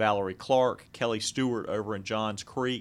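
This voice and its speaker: The speaker uses a plain, everyday voice with an American accent and fairly even intonation. The pace is moderate, and the recording is very clean with a silent background. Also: man. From Jacksonville, Florida. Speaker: lawyer and political candidate. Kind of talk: radio interview.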